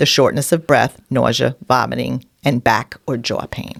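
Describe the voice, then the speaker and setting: A woman with a New York accent and vocal fry talks at a moderate pace, the sound dry and close with no echo. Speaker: podcast co-host. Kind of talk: casual chat.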